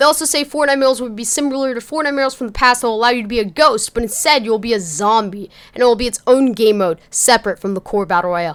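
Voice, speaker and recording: Speaking at a very fast pace with hardly any pauses, a woman uses a fairly high pitch and lively intonation. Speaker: gaming YouTuber. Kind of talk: casual gaming news commentary. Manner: casual, conversational.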